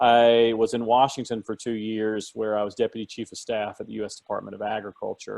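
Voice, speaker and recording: With hardly any pauses, a man in a Southern US accent talks at a medium pitch with monotone, flat intonation. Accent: Southern US (Georgia). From South Georgia, US South. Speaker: government policy consultant. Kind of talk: webinar talk. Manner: conversational, colloquial; halting, many fillers.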